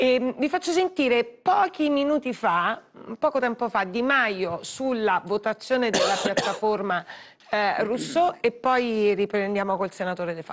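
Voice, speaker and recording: Swinging very widely in pitch, a woman talks fairly slowly in a fairly high voice. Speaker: news host. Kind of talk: live TV news talk, moderating. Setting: studio. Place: studio. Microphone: lapel.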